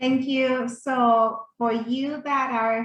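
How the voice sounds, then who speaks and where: A woman with a Spanish accent and fairly even intonation. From Mexico City. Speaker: yoga instructor and doula. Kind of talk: workshop presentation.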